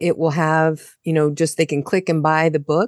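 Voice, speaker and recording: A woman with an American accent and a plain, everyday voice, fairly low in pitch, at a moderate pace, with a dry, close sound with no echo over a quiet background. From United States. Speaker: indie author and podcaster. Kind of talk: casual chat.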